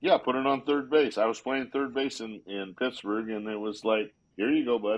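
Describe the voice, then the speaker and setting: At a moderate pace, a man speaks at medium pitch with ordinary pitch variation in an unremarkable speaking voice. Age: 60s. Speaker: baseball manager and former player. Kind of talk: casual interview chat.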